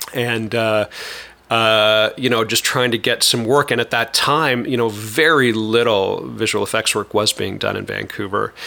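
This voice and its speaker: Fairly even in intonation, a man talks in a normal speaking voice. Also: medium pitch for a man, moderate pace. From eastern Canada. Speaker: visual effects studio owner and film director. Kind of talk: interview conversation.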